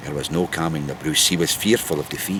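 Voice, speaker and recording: A man's pitch varies in an ordinary way while noticeable background noise runs underneath. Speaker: storyteller. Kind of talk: historical storytelling.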